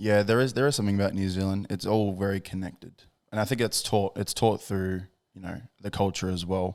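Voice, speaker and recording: Talking fairly quickly with an Australian accent, a man with a fairly low pitch keeps his intonation fairly even, his loudness swinging widely on a very clean recording with a silent background. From Australia, Gold Coast. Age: 20s. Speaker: podcast host. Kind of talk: casual chat.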